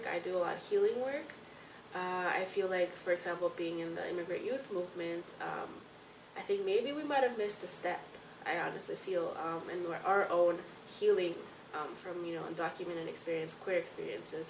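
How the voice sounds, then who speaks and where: A woman at medium pitch speaks at a fairly quick pace, with audible room echo and noticeable background noise. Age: 20s. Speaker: activist. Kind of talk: interview.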